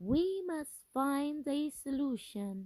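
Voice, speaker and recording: A woman's high-pitched put-on character voice with lively intonation. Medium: read story.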